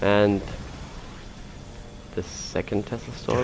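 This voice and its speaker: The speaker talks at a fairly slow pace. Music plays in the background. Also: man. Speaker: gamer. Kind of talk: casual gameplay commentary.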